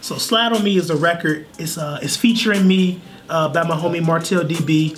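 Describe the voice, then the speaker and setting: Against music in the background and audible room echo, a man speaks fairly quickly in a high voice with fairly even intonation. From Chicago. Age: 20s. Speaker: singer. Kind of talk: casual chat.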